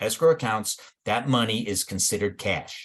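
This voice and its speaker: Here is a plain, everyday voice from a man at medium pitch. His intonation is lively. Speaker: real estate instructor. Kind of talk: lecture. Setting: remote online class.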